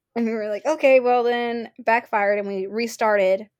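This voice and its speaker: A woman uses an ordinary speaking voice at a moderate pace with fairly even intonation. The recording is very clean, with a silent background. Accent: American. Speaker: college student. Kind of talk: casual chat.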